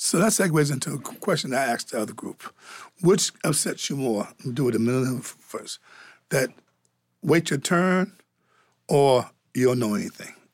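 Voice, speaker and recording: On a very clean recording with a silent background, a man with a fairly high pitch and lively intonation speaks with long, frequent pauses. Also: moderate pace. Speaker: podcast host. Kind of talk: moderated panel discussion. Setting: studio. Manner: warm, conversational.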